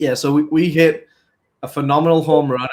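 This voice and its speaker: A man speaks in an English accent with fairly even intonation. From England. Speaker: business consultant. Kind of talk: podcast interview.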